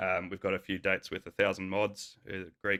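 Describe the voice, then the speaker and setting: On a very clean recording with a silent background, a man with an Australian accent speaks at a moderate pace. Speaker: rock band guitarist. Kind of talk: casual interview chat.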